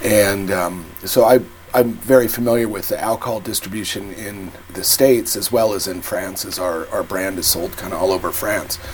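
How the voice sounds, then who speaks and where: A man with an American accent talks at a moderate pace and fairly low pitch, with fairly even intonation. His loudness swings a lot, and there is noticeable background noise. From England or US. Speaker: hard seltzer company co-founder. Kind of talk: casual interview.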